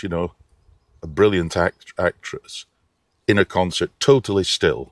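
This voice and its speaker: A man with a very deep, low voice talks at a moderate pace, the sound dry and close with no echo on a very clean recording over a silent background. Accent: northern English. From Lancashire, England. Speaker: opera singer. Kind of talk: interview answer.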